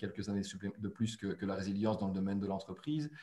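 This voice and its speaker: A somewhat breathy male voice. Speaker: webinar moderator. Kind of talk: webinar introduction. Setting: webinar.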